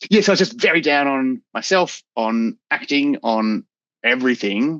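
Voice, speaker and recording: With an Australian accent, the voice makes very wide pitch swings in a dry, close sound with no echo and a quiet background. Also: man, fairly high pitch for a man. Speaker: actor. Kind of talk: casual interview chat. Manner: fast.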